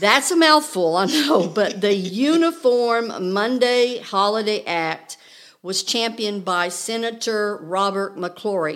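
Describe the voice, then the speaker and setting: A woman speaks in an ordinary speaking voice with an American accent. Her pace is fairly slow and her intonation lively. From Oklahoma. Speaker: guest presenter. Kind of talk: educational chat. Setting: studio.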